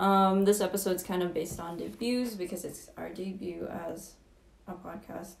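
There is audible room echo as a woman speaks at medium pitch with fairly even intonation. Her loudness swings widely. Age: 20s. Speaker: podcast co-host, psychology student. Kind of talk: casual chat.

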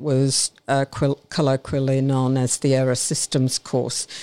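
A woman with an Australian accent speaks at a fairly slow pace in a very deep, low, dark, mellow voice, recorded dry and close with no echo on a very clean, silent background. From Brisbane, Australia. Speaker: retired air force officer. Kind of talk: interview. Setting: studio.

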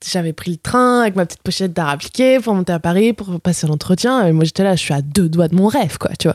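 On a very clean recording with a silent background, an unremarkable speaking voice comes through with lively intonation and a dry, close sound with no echo. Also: woman. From France, Bourg-en-Bresse (Ain). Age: 20s. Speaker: motion designer. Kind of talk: casual chat.

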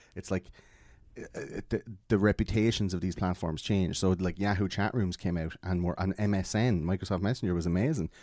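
A man speaks in a very deep, low voice with a dark, mellow tone and an Irish accent, moving at a fairly quick pace with fairly even intonation on a very clean recording with a silent background. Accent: Irish, Wexford. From Ireland. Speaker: podcast guest. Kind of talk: casual chat.

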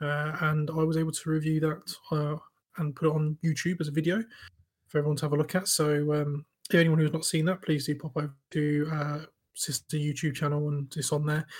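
A man speaks at a fairly high pitch, somewhat breathy, with monotone, flat intonation. He talks at a fairly quick pace. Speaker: podcast co-host. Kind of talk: casual chat.

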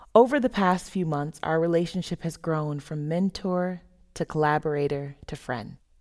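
A woman with an American accent talks at a moderate pace, her pitch fairly low with ordinary variation. It is an ordinary speaking voice on a very clean recording with a silent background. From US South (Florida). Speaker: theater artist. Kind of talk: reading aloud a written dialogue.

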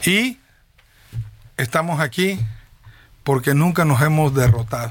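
Speech moves at a fairly slow pace with very wide pitch swings. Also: man. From Veracruz, Mexico (Tierra Blanca, Papaloapan basin). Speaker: politician. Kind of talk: interview.

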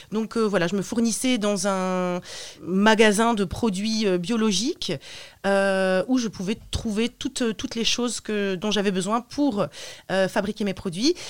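On a very clean recording with a silent background, a woman speaks at medium pitch and a very slow pace with ordinary pitch variation. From northern France, Roubaix/Lille area. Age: 30s. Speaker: soap maker, former language teacher. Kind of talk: interview. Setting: radio studio. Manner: hesitant, many fillers.

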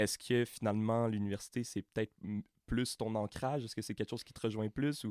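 In a Quebec accent, a man speaks at a fairly quick pace and medium pitch with monotone, flat intonation and big swings in loudness, the sound dry and close with no echo. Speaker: university student podcast host. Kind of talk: interview.

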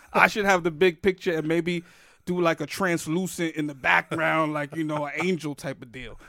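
Recorded very cleanly against a silent background, a man with a New York accent speaks at a fairly high pitch in a bright, sharp tone with fairly even intonation. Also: moderate pace, big swings in loudness. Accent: New York (Bronx) English. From New York City, the Bronx. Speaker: podcast host and stand-up comedian. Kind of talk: casual chat.

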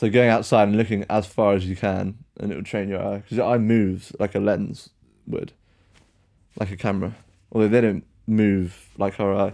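At a moderate pace, a speaker with a British accent delivers a dark, mellow tone in a monotone, flat intonation. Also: man, fairly low pitch for a man. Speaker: podcast host. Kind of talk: casual chat.

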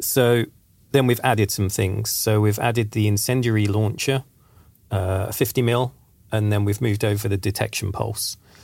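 A man with an English accent speaks at a moderate pace in a fairly low pitch, his intonation monotone and flat. His loudness stays very even, and the recording is very clean with a silent background. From England. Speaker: game design director. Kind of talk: casual podcast discussion.

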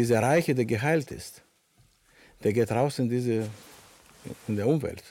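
A man speaks at a fairly slow pace with a Greek accent, his medium-pitched voice dark and mellow, with ordinary pitch variation and long, frequent pauses. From Greece. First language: Greek (speaking German). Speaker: panel guest. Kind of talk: panel discussion. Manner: halting.

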